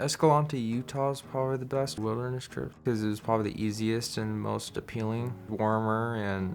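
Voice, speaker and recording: A man talks at a moderate pace, his fairly low voice keeping fairly even intonation as music runs in the background. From Wyoming, Star Valley. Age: young. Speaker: wilderness therapy program participant. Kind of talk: interview testimony.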